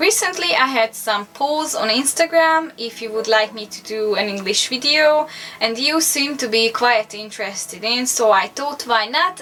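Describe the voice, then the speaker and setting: A woman's high voice in a Hungarian accent, with lively intonation at a fairly slow pace, over noticeable background noise. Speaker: dog owner and pet vlogger. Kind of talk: casual vlog talk to camera. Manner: halting, hesitant.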